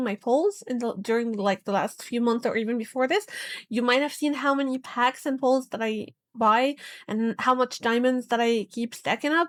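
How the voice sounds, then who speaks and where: Mumbling at a moderate pace with a non-native accent, a woman with a high pitch and ordinary pitch variation is heard on a very clean recording with a silent background and a dry, close sound with no echo. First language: not English. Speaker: gaming YouTuber. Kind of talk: emotional vlog rant. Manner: halting, stammering.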